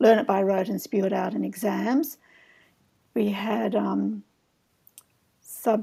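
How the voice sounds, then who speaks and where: Pausing long and often, a woman talks at a very slow pace. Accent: Australian. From Australia, Sydney. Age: 70s. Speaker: herbalist. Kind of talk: casual chat.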